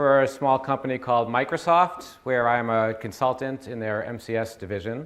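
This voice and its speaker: A man speaks with a Boston accent. His pace is fairly quick. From US Northeast, Boston area. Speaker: IT consultant. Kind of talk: conference presentation. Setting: stage with audience.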